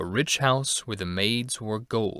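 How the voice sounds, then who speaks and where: A man's put-on character voice, medium in pitch, at a fairly slow pace with ordinary pitch variation. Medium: read story.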